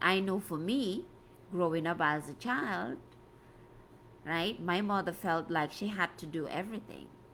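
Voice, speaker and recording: A woman with a West African accent speaks at a fairly slow pace in a fairly low pitch, with ordinary pitch variation and long, frequent pauses. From Gambia, West Africa. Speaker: life coach. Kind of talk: live stream talk. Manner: conversational, repetitive.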